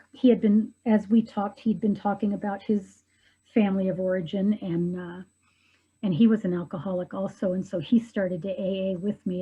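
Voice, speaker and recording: Over a quiet background, the voice has a dark, mellow tone, somewhat breathy, with fairly even intonation at a moderate pace. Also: woman. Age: 60s. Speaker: widow sharing her love story. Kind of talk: interview testimony. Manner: hesitant, many fillers.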